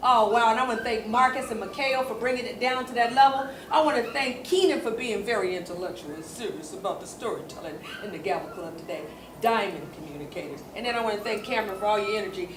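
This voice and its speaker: Over noticeable background noise and audible room echo, a woman speaks at a very fast pace with very wide pitch swings. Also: fairly high pitch for a woman, big swings in loudness. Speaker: talk show host. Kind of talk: live talk show. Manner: animated.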